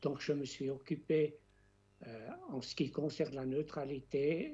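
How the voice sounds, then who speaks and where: Speaking very slowly at a fairly high pitch, a man has a dark, mellow tone that is somewhat breathy. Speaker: retired history professor. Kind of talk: documentary interview.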